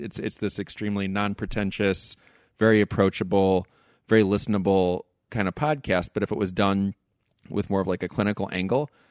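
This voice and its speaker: Fairly quick male speech in an ordinary speaking voice, dry and close with no echo, quiet background. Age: 40s. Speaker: psychoanalyst and podcaster. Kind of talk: casual interview.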